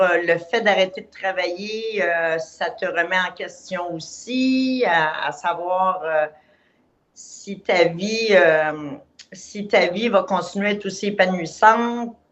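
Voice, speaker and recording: A woman with a Quebec accent, her loudness swinging widely. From Quebec, Montreal. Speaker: client giving a testimonial. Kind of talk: testimony. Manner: halting.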